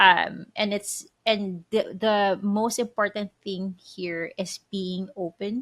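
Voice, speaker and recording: A woman's medium-pitched voice with a slight Filipino accent and fairly even intonation. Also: dry, close sound with no echo, very clean recording, silent background. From Philippines. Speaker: podcast co-host. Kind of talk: casual chat.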